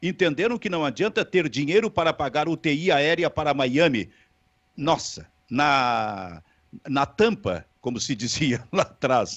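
With vocal fry and very wide pitch swings, a man talks at a fairly slow pace against a quiet background. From Rio Grande do Sul, Brazil. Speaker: sports talk show host. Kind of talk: sports talk show. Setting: online video stream. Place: home room. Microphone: handheld.

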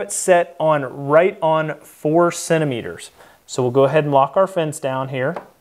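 Against noticeable background noise, a man talks at a moderate pace with fairly even intonation. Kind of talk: tutorial. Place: workshop.

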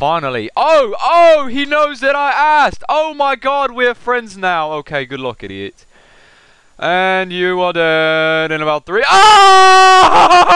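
Speaking very slowly in a raised, projected voice with a British accent, a man uses an extremely high pitch, very wide pitch swings and a bright, sharp tone. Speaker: gaming video commentator. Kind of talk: gameplay commentary. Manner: animated.

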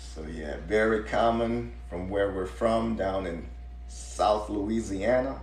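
A man speaks with a very deep, low pitch and vocal fry. Audible room echo surrounds his voice. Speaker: home cook host. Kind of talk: casual livestream chat. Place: kitchen. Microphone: phone near.

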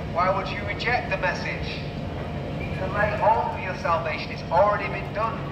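A man speaks at a moderate pace. Loud background noise accompanies him. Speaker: street preacher. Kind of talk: street sermon. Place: street.

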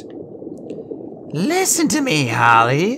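A man performs a put-on character voice at a high pitch. Clear background noise runs underneath. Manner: commanding, hypnotic.

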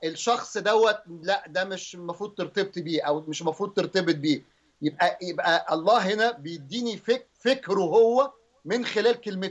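A man with a high pitch talks at a moderate pace with ordinary pitch variation, the background quiet. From Egypt. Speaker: pastor. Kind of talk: religious teaching on TV.

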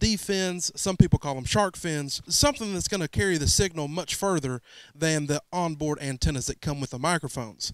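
With a quiet background and a dry sound with no echo, a man talks at a fairly quick pace. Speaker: mobile DJ reviewing gear. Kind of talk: gear review vlog. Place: garage. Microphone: handheld.

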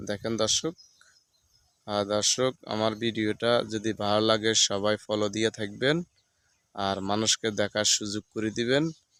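A man with an unremarkable speaking voice and a fairly low pitch talks with fairly even intonation in a very clean recording with a silent background and a dry, close sound with no echo. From Bangladesh, Feni district. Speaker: village vlogger. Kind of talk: casual vlog narration.

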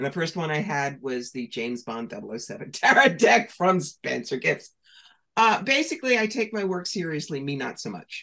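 A woman with an American accent speaks at a fairly low pitch and a moderate pace in a bright, sharp tone. Her pitch swings very widely and her loudness varies greatly, over a quiet background. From New York. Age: 60s. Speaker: professional psychic and author. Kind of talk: interview. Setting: video call. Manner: animated. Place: home room. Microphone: webcam.

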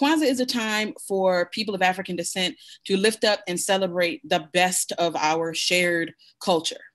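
The speech moves at a moderate pace with lively intonation over a quiet background. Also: woman. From US, Buffalo, New York; New York. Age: 40s. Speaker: Kwanzaa practitioner; guest. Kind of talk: panel discussion. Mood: warm, earnest teaching. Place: home room. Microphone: video call.

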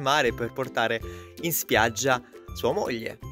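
Clear music plays in the background while a man talks at a moderate pace. His pitch varies in an ordinary way, and the sound is dry with no echo. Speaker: language teacher. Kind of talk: casual talk to camera. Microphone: phone near.

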